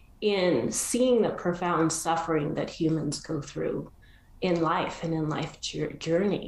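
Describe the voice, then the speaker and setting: Noticeable background noise runs through the clip. A woman talks with ordinary pitch variation. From Argentina. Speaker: coaching school leader. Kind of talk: interview.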